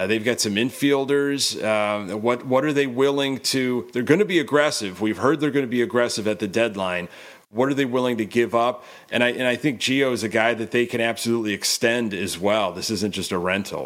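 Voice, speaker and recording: A man talks at a fairly quick pace with a medium pitch and ordinary pitch variation. He has an ordinary speaking voice. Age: 40s. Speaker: baseball podcaster. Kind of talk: casual chat.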